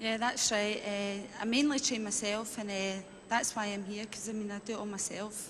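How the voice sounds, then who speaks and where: A woman speaks at a medium pitch with a Glaswegian accent, keeping her intonation fairly even and her pace moderate. Audible room echo and noticeable background noise fill the recording. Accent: Glaswegian Scottish. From Scotland, Glasgow. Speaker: game show contestant, fitness advisor. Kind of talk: game show interview. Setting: indoor arena with audience.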